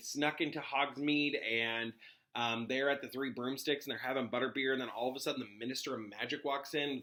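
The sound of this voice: This is an unforced reading voice. The speaker reads in that manner.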